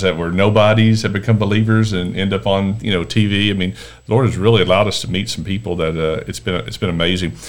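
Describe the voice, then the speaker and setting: A man with a Texan accent, fairly low in pitch, at a fairly quick pace with fairly even intonation. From Texas, Dallas area. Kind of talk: casual interview. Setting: podcast interview.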